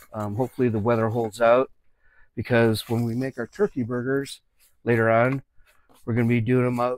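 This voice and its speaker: A man's fairly even intonation comes at a moderate pace. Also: dry sound with no echo. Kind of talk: tutorial. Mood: relaxed, joking. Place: kitchen. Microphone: lapel.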